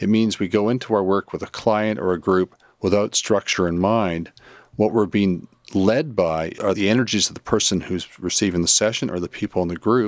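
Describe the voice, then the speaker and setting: This is a plain, everyday voice: a man speaking fairly low, at a moderate pace, with fairly even intonation. The sound is dry and close with no echo, and the recording is very clean over a silent background. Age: 60s. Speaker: psychotherapist and spiritual teacher. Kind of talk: interview.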